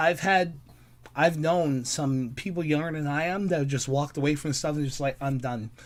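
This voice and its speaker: This man has a normal speaking voice and a moderate pace. His pitch is fairly high. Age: 30s. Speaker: podcast guest. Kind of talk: casual chat.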